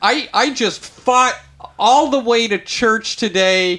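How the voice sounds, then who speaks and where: Speaking at a very slow pace, a man uses a raised, projected voice. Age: 30s. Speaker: podcast host, ministry worker. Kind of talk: casual chat.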